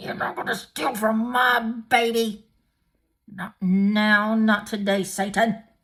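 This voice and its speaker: Growling in a put-on character voice, a woman sounds angry as she speaks fairly slowly at a fairly high pitch. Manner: angry, growling; low muttered, under the breath.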